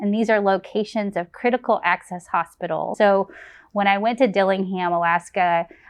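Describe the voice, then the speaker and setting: Here a woman has a normal speaking voice with an American accent at a medium pitch. Her pace is moderate and her pitch variation ordinary. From Texas, Lancaster near Dallas. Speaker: family medicine physician and residency program director. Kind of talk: program introduction testimonial.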